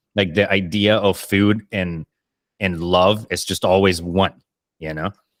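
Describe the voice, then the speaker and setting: A man's very deep, low voice, fairly slow and monotone with flat intonation, dry and close with no echo. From Colombia. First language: Spanish. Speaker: podcast host, chef. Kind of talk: casual interview chat.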